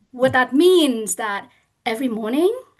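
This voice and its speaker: Against a quiet background, a woman with a Vietnamese accent speaks at a fairly slow pace with very wide pitch swings. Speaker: parent advocate. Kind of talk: panel discussion.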